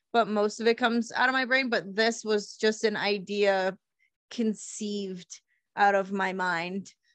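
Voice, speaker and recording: Against a quiet background, a woman with a plain, everyday voice speaks at a fairly slow pace. Her pitch is medium and her intonation fairly even. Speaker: podcast host. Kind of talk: casual chat.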